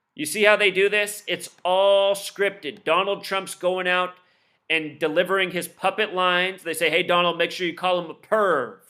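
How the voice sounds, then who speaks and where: A man with a high-pitched voice and a bright, sharp tone, recorded very cleanly against a silent background. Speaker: conspiracy commentary video host. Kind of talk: casual monologue commentary. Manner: fast; animated.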